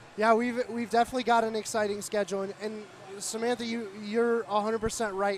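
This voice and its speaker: A man speaks high in pitch over noticeable background noise. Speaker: student sports commentator. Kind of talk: live sports commentary.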